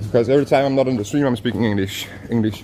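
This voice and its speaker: A man talks with a Danish accent and fairly even intonation. Noticeable background noise is present. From Denmark. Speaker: walking travel streamer. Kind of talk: live stream chat. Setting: outdoors, walking.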